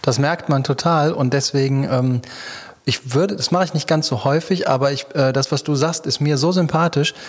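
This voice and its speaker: Here a man has an unremarkable speaking voice at a fairly high pitch. He keeps a moderate pace and fairly even intonation. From Düsseldorf. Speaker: podcast host. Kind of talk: interview.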